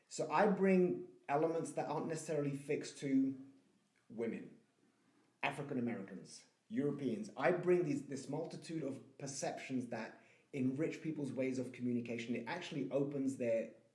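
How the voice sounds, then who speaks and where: In a room with audible echo, a man with a dark, mellow, somewhat breathy voice speaks fairly high at a moderate pace with ordinary pitch variation. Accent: British. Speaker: communication trainer and online course creator. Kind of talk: casual podcast conversation.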